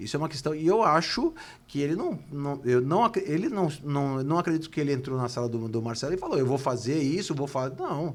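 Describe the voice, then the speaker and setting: Fairly quick speech from a man, fairly high in pitch, with ordinary pitch variation. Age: 60s. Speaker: football club politician, former presidential candidate. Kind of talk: interview. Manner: halting, repeats words.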